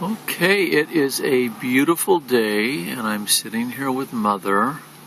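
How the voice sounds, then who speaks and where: A man speaks at a very slow pace. His pitch varies in an ordinary way over noticeable background noise. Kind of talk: interviewer questions, casual.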